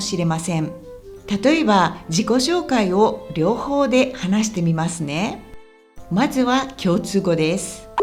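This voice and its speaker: Lively intonation over music in the background, at a fairly slow pace. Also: woman. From Kansai, Japan. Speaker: Japanese teacher, former TV and radio presenter. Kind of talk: language-learning podcast talk.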